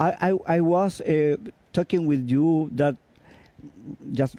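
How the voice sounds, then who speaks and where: With a Spanish accent, a man speaks at a very slow pace in a high-pitched, dark, mellow tone. His intonation is lively, and the sound is dry and close with no echo. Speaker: interviewer, guitarist. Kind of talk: interview. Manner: halting.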